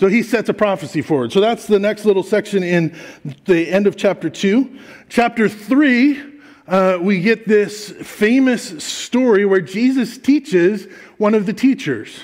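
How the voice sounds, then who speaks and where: Very even in loudness, the speech proceeds at a fairly slow pace. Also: man, high pitch for a man, ordinary pitch variation. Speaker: pastor. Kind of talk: sermon. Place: church.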